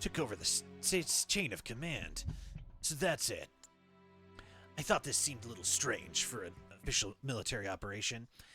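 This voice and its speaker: Over music in the background, a man in a gravelly, put-on character voice of medium pitch speaks at a moderate pace with long, frequent pauses. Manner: hard-boiled, low.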